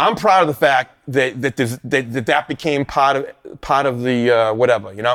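In a plain, everyday voice, a man with an American accent talks at a moderate pace and medium pitch with ordinary pitch variation, the sound dry and close with no echo on a very clean recording with a silent background. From Boston, Massachusetts. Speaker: punk guitarist. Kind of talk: casual conversation.

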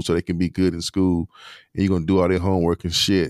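Speaking at a very fast pace, a man with a very deep, low pitch sounds dry and close, with no echo. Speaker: podcast co-host, former teacher educator. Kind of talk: casual book discussion.

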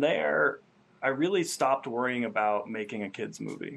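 Against a quiet background, a speaker with an American accent and an unremarkable speaking voice talks at a fairly slow pace with lively intonation. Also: man. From Vermont, US. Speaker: filmmaker. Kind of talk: casual interview.

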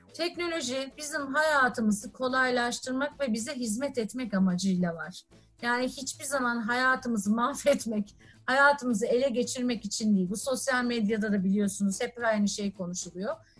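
A woman talks at a moderate pace with hardly any pauses, her high pitch showing ordinary variation. Music plays in the background. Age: 40s. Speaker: technology company executive. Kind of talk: interview. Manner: frequent filler hesitations.

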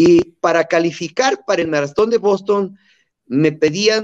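A man talks at a fairly slow pace with ordinary pitch variation. He has a Mexican accent. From Mexico. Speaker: marathon runner. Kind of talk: interview.

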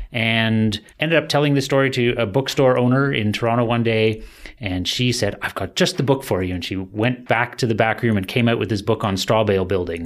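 A man's normal speaking voice with a Canadian accent, medium in pitch, fairly quick with hardly any pauses and ordinary pitch variation. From Ontario, Canada. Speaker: sustainable building educator. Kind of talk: interview.

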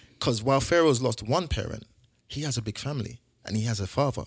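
On a very clean recording with a silent background and a dry, close sound with no echo, a man speaks at a moderate pace in a somewhat breathy voice with ordinary pitch variation. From South London. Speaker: bereaved single father and entrepreneur. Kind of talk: casual interview conversation.

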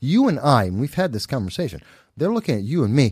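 Very wide pitch swings mark this man's somewhat breathy voice, delivered in an American accent. The recording is very clean, with a silent background. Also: dry, close sound with no echo. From New York City, the Bronx. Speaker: political commentator. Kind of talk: casual chat. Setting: studio.

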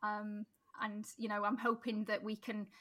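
A woman in a Sheffield accent, fairly high-pitched, bright and sharp in tone, at a moderate pace. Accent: Yorkshire (Sheffield). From South Yorkshire, Sheffield. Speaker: mayoral candidate. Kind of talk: interview.

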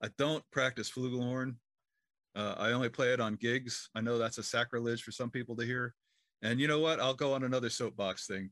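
A plain, everyday voice at a fairly quick pace with fairly even intonation, over a quiet background. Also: man, medium pitch for a man. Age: 60s. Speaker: professional trumpet player and composer.

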